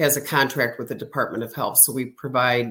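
An American accent with monotone, flat intonation. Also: woman. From Illinois. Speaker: clinical director at a children's center. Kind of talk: interview.

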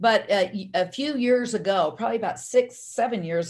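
Vocal fry runs through a woman's voice. She speaks at a fairly quick pace. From US South, army brat raised across the US. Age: 60s. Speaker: holistic medicine doctor. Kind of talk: interview. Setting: remote call.

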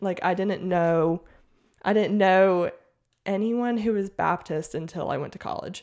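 A woman with an American accent speaks in a plain, everyday voice of medium pitch at a fairly slow pace with fairly even intonation, on a very clean recording with a silent background. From US South, Mississippi. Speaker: teacher and podcaster. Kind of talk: testimony.

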